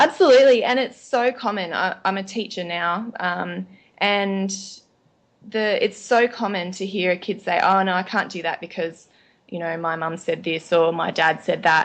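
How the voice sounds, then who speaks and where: Ordinary pitch variation at a moderate pace. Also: woman, medium pitch for a woman. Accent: Australian. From Australia. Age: 30s. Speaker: nutritionist and teacher. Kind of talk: podcast interview. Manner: casual, frequent um fillers.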